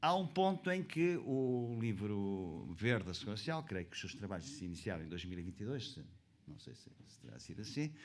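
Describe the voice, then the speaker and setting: Moving at a fairly quick pace, a man with a fairly low pitch shows very wide pitch swings and big swings in loudness. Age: 70s. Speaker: conference panelist, pensions expert. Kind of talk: panel talk. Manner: halting, many fillers.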